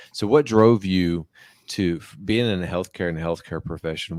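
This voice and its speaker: Someone with an American accent talks at a moderate pace. The recording is very clean, with a silent background and a dry, close sound with no echo. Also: man. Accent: slight twang. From West Virginia. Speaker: podcast host, army officer. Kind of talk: interview conversation.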